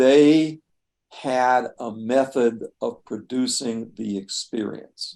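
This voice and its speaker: A dark, mellow tone at a very slow pace with fairly even intonation. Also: man, medium pitch for a man. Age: 70s. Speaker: retired professor of religion. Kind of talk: casual interview. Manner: halting, repeats words.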